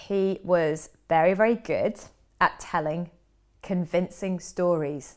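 A woman speaks at a very slow pace with a fairly low pitch. Her intonation stays fairly even. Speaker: performance coach and podcast host. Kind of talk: solo podcast monologue.

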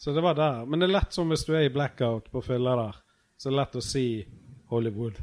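A man with an ordinary speaking voice talks at a fairly quick pace, at a medium pitch with ordinary pitch variation. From Norway, Bergen (Fyllingsdalen). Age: 30s. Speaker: podcast host, comedian. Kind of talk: casual chat. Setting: backstage at a venue.

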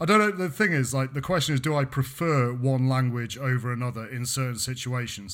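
Pitched at a medium level, a man's voice moves at a moderate pace. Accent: British. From Britain. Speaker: podcast co-host and university researcher. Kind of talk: casual chat. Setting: remote call.

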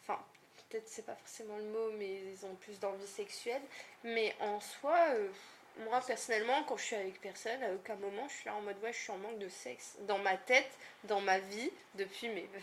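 With noticeable background noise behind her, a woman talks at a moderate pace in a fairly high pitch, her pitch varying in an ordinary way and her loudness swinging widely. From northern France, Lille. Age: 20s. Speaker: content moderator. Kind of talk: casual chat.

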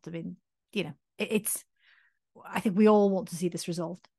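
A woman talks in a Welsh accent. The sound is dry and close with no echo, over a quiet background. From Wales. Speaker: doctor and podcast co-host. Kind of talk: casual chat.

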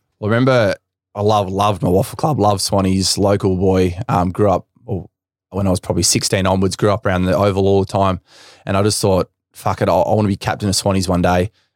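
A man with an Australian accent talks at a fairly quick pace and fairly low pitch, his intonation fairly even and his loudness very even. The recording is very clean with a silent background, and the sound is dry and close with no echo. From Western Australia. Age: 20s. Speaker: professional footballer. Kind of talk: casual chat.

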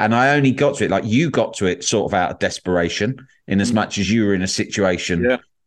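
A man with an English accent at a very fast pace, fairly low in pitch, against a quiet background. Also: lively intonation, very even loudness. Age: 40s. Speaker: podcast host. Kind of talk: casual chat.

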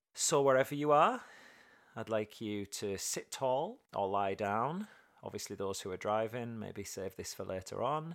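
On a very clean recording with a silent background, a man with an English accent speaks at a moderate pace in a medium pitch with ordinary pitch variation. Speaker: podcast host and therapist. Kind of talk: casual monologue; guided meditation.

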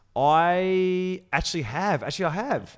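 A man is speaking. He has an Australian accent. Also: very clean recording, silent background. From Melbourne, Australia. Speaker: TV presenter. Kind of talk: casual chat.

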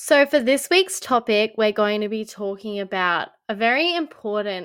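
A woman with an Australian accent, fairly high pitch, and lively intonation, speaking at a fairly slow pace in a very clean recording with a silent background. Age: 20s. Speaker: podcast co-host. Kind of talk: casual chat.

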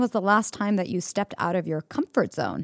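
In a normal speaking voice, a woman talks at a moderate pace and medium pitch with ordinary pitch variation. The sound is dry and close with no echo, a very clean recording on a silent background. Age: 30s. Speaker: podcast host. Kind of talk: interview.

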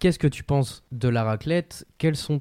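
Over a silent background in a very clean recording, a man with a medium pitch and a dark, mellow tone talks at a fairly slow pace with lively intonation. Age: 20s. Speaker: podcast host. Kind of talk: casual chat.

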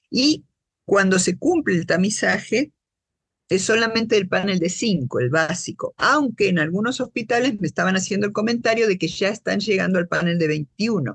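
A woman speaks with lively intonation and very even loudness, somewhat breathy. The sound is dry and close with no echo. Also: medium pitch for a woman, moderate pace. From Argentina, Buenos Aires. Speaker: social scientist and patient advocate. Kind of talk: interview.

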